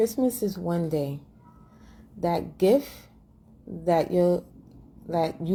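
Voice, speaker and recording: At a very slow pace, a dark, mellow, somewhat breathy voice speaks with ordinary pitch variation. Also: woman. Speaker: vlogger. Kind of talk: casual monologue.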